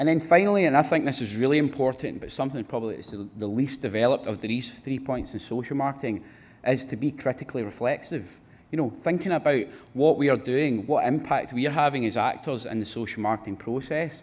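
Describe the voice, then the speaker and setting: Talking at a very fast pace with a Glaswegian accent, the man keeps a medium pitch and ordinary pitch variation. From Scotland, Glasgow. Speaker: research fellow. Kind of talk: conference presentation.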